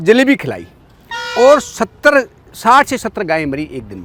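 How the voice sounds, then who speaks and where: A man talks with very wide pitch swings, dry and close with no echo. Noticeable background noise runs underneath. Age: 50s. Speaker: farmer and rural commentator. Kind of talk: talk show discussion. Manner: emphatic.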